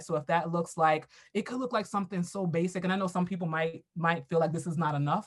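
In an American accent, a woman with a fairly low pitch talks very fast in a somewhat breathy voice. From US, Brooklyn, New York. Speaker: diversity and equity educator, consultant. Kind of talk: casual interview.

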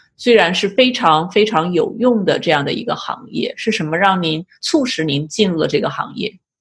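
With hardly any pauses, a somewhat breathy woman speaks at a medium pitch and moderate pace, her intonation lively. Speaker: podcast host, clinical psychologist. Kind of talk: interview.

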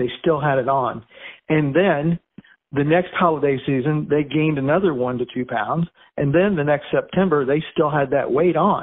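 A man talks at a moderate pace in an ordinary speaking voice. His pitch is fairly high, with ordinary variation. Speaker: fitness expert. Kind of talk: expert advice interview.

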